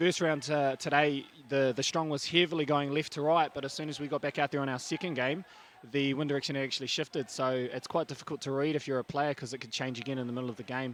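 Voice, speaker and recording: A man's fairly high voice at a very fast pace, with a New Zealand accent. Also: fairly even intonation. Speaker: touch referee, guest commentator. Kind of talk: live sports commentary. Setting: commentary box.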